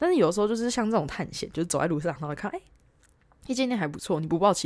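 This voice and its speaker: This female voice has ordinary pitch variation. The recording is very clean, with a silent background. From Taiwan. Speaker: travel podcaster, backpacker. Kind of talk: casual solo monologue. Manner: hesitant, many fillers.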